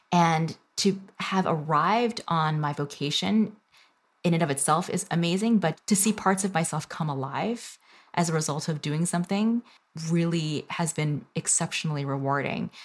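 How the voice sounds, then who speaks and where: Her pace is moderate. The woman's pitch varies in an ordinary way. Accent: American. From Northern Virginia, US. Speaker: food studies scholar and company founder. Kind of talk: interview conversation. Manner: hesitant with many fillers.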